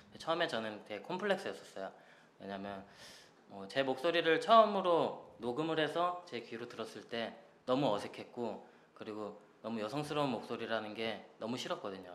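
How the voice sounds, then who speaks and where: With very wide pitch swings and big swings in loudness, a man with a medium pitch speaks at a moderate pace amid audible room echo. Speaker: singer. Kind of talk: casual radio interview.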